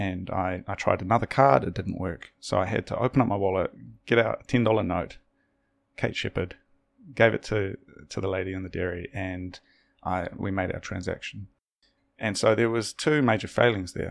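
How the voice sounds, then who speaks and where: In a very clean recording with a silent background, a man with a New Zealand accent talks at a moderate pace and takes long, frequent pauses. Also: fairly low pitch for a man, ordinary pitch variation. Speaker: podcast host. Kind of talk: casual interview conversation.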